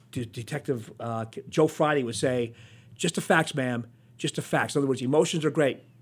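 An unremarkable speaking voice in an American accent, fairly quick pace and lively intonation, on a very clean recording with a silent background. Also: man. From northeastern Pennsylvania. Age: 60s. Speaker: TV news reporter. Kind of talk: interview. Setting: studio.

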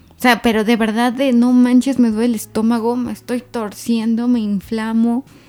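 Speaking at a moderate pace with hardly any pauses, a woman uses a dark, mellow tone, and her loudness swings widely. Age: 30s. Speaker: graphologist. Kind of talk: casual chat. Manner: animated.

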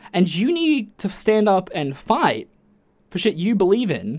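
With lively intonation, a man speaks in an Australian accent. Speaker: podcast host. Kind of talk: casual monologue. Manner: animated.

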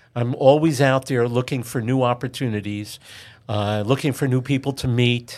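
A man with a New York accent and medium pitch speaks at a moderate pace with fairly even intonation, on a very clean recording with a silent background. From New York City (Queens). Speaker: commercial real estate broker. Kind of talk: interview.

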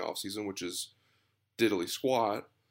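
Over a silent background in a very clean recording, a man with an American accent speaks at a fairly quick pace. His pitch is fairly low, with ordinary variation. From Texas, Dallas. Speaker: sports podcast host, student. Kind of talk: solo sports podcast monologue. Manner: hesitant, many filler ums.

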